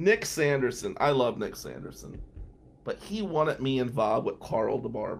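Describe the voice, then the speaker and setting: With an American accent, a man speaks at a moderate pace in a medium pitch, showing vocal fry and very wide pitch swings. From New Jersey. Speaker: criminal defense lawyer. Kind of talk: casual monologue.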